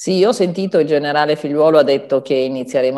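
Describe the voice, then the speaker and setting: A woman speaks with ordinary pitch variation. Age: old. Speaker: pharmacist. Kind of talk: TV health advice segment.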